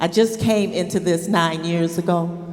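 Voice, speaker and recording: Female speech against noticeable background noise, plus audible echo from the room. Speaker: audience member asking a question, former teacher. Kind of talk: audience question at a public talk. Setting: synagogue sanctuary with live audience. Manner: loud.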